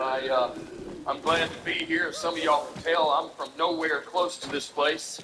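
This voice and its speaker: A man with a high pitch and ordinary pitch variation, amid noticeable background noise. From US South, Alabama. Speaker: stand-up comedian. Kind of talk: stand-up.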